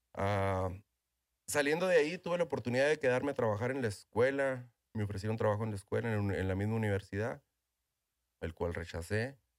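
A man with a northern Mexican accent talks at a fairly quick pace with lively intonation and a medium pitch. The recording is very clean, with a silent background. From northern Mexico (Ojinaga, Chihuahua). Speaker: tequila brand owner. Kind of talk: interview. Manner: halting, with repetitions.

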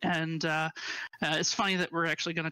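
On a very clean recording with a silent background and a dry, close sound with no echo, a man with an American accent speaks at a high pitch in a bright, sharp tone. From northern Indiana, US Midwest. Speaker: game producer. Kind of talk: casual interview.

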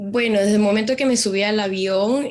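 With a plain, everyday voice, a woman speaks at a moderate pace and fairly even intonation. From Peru. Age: 20s. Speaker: dental assistant and nursing student. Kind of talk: interview.

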